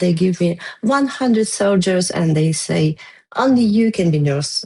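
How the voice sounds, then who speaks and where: A woman with a non-native accent speaks at a fairly slow pace at a medium pitch, her dark, mellow tone somewhat breathy and her intonation lively. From Ukraine. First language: Ukrainian. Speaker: war veteran. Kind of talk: testimony. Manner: halting.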